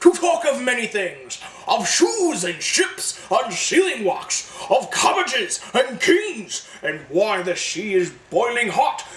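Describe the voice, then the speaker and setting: Put-on character voice at a fairly slow pace, with very wide pitch swings and clear background noise. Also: man, extremely high pitch for a man. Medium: read story. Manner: smooth, coaxing.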